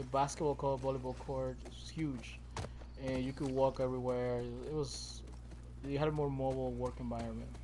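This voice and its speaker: Audible room echo surrounds a man speaking at a fairly quick pace with a Spanish accent. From Puerto Rico. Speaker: gaming streamer. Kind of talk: casual chat. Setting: live stream at home.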